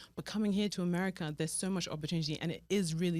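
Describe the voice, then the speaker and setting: A woman with a British accent and a fairly low pitch speaks at a very fast pace. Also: very clean recording, silent background. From Nigeria, then raised in London. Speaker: fashion stylist, business owner. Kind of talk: interview.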